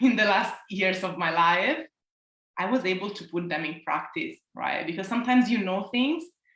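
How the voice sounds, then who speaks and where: A woman's medium-pitched voice with an Italian accent, lively intonation and a moderate pace. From Italy. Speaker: self-love coach. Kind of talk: interview.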